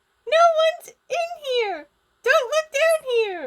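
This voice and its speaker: This is a put-on character voice at an extremely high pitch. Its pitch swings very widely. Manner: whispering, frightened.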